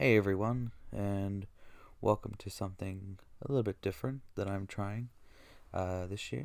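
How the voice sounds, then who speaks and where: In a very clean recording with a silent background, a man with a fairly low pitch speaks quietly at a moderate pace. His ordinary pitch variation is broken by long, frequent pauses. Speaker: gaming YouTuber. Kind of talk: live reaction commentary. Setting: at home, recording early morning.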